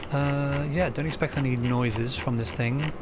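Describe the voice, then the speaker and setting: The man's medium-pitched voice carries audible room echo, and noticeable background noise is present. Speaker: electronics repair hobbyist. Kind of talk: tutorial. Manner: hesitant, many filler words; rambling casual. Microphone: poor sound quality.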